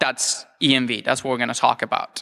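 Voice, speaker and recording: Man with an Italian accent and a bright, sharp tone. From Italy. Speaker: security researcher. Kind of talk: lecture. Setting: stage with audience.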